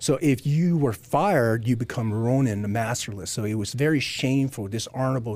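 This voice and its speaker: Dark and mellow in tone, a man with an American accent speaks with ordinary pitch variation. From US South. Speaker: special operations military veteran. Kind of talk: podcast interview. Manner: calm; gentle.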